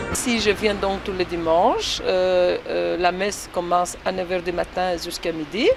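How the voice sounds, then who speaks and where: A woman speaks with a Greek accent at a fairly slow pace, with hardly any pauses and fairly even intonation. Music plays in the background. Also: medium pitch for a woman. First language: Greek (speaking French). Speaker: Greek expatriate interviewee. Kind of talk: casual interview. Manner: hesitant, many fillers.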